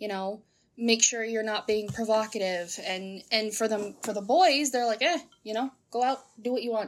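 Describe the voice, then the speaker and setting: The clip has an ordinary speaking voice delivered at a moderate pace. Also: woman. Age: 20s. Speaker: young worker. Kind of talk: interview answers.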